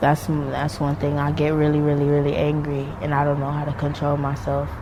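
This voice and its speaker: Over noticeable background noise and audible room echo, a voice with an American accent talks in a monotone, flat intonation. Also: woman. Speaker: foster care survivor interviewee. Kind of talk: interview testimony. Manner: flat, emotionless; halting.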